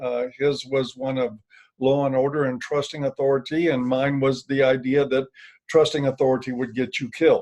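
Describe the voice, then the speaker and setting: A man talks at a moderate pace in a normal speaking voice, his pitch medium. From US, military family, moved around. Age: 60s. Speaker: author and former addiction counselor. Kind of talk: interview.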